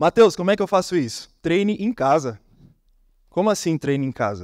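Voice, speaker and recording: A man at a moderate pace on a very clean recording with a silent background, dry and close with no echo. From Brazil, Brasília. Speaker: copywriter, conference speaker. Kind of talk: conference talk. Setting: stage with audience. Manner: animated.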